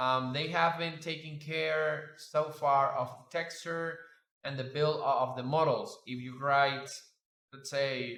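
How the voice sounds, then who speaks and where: Pitched fairly high, a man speaks at a very slow pace with fairly even intonation and a bright, sharp tone, with audible room echo around him. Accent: Spanish. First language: Spanish. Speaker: 3D sculpting artist and YouTuber. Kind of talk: casual reflective commentary over screen demo. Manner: halting, many fillers.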